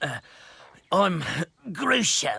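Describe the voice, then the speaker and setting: Using a put-on character voice, a man speaks at a high pitch with a raspy sound. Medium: video game. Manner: hesitant, stammering.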